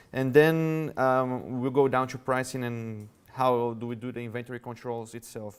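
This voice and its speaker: A man talks at a moderate pace in a Brazilian Portuguese accent. His loudness swings widely while his intonation stays fairly even. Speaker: revenue management executive. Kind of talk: conference talk. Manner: halting.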